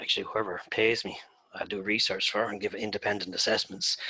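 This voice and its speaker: Speaking with an Irish accent, a man has a bright, sharp tone. His pace is moderate. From Ireland. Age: 60s. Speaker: turfgrass researcher and former golf course superintendent. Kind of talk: presentation.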